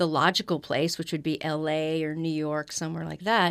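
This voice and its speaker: This woman has a plain, everyday voice and an American accent, pitched fairly low. She talks at a moderate pace over a very clean recording with a silent background. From Los Angeles, US. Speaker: voiceover actor and teacher. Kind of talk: interview.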